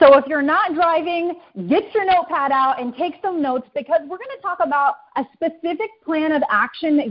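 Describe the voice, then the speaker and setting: The woman's pitch sits high. She talks at a fairly slow pace. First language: English (speaking Spanish). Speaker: network marketing leader. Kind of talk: motivational talk. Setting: conference call.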